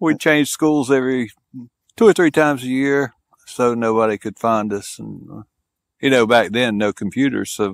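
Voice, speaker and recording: A man with a Southern US accent speaks at a moderate pace and medium pitch, with ordinary pitch variation and big swings in loudness. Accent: Southern American. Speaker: police officer and war veteran. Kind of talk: casual interview. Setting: in-person interview.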